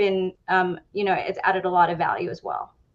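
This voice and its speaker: A woman with a Spanish accent at a moderate pace. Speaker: in-house lawyer. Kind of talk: panel discussion.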